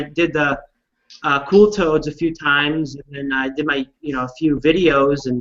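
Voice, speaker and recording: A loud, fairly high-pitched man's voice, bright and sharp in tone, at a moderate pace with fairly even intonation. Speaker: online community founder. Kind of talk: casual chat. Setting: video call.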